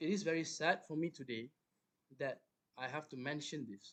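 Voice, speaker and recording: This soft-spoken man talks at a fairly slow pace with ordinary pitch variation. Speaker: fitness coach. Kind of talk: online talk.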